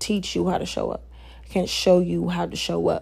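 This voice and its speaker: Recorded very cleanly against a silent background, a woman speaks at a moderate pace. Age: 20s. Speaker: podcast host. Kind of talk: casual monologue.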